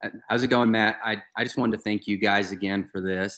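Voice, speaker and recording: This is a man with an American accent and a plain, everyday voice. His pitch sits fairly low. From US South. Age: young. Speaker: golf podcast co-host. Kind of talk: casual chat.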